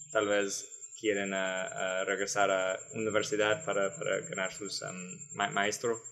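Speaking at a very slow pace, a man with an American accent and a fairly low pitch shows ordinary pitch variation. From San Antonio, Texas. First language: English (speaking Spanish). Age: 20s. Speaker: Peace Corps volunteer. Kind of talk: casual interview. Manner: halting, repeats words.

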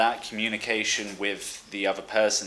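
Through noticeable background noise, a man speaks at a fairly low pitch with monotone, flat intonation. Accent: southern English. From Brighton, England. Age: 20s. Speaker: podcast host, expat. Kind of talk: casual chat. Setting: remote call.

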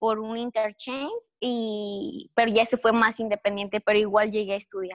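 Fairly high in pitch, a woman with an unremarkable speaking voice talks at a moderate pace with fairly even intonation. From Mexico, Guanajuato (Cortázar). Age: 20s. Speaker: recent university graduate, exchange student. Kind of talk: interview.

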